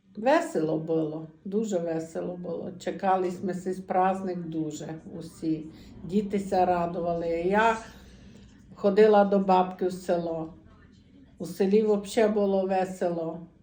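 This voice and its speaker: With a Transcarpathian accent, a woman speaks at a fairly slow pace in a medium pitch, a dark, mellow tone and fairly even intonation. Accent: Transcarpathian Ukrainian dialect. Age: 60s. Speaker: dialect informant. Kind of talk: dialect interview answer, childhood memories.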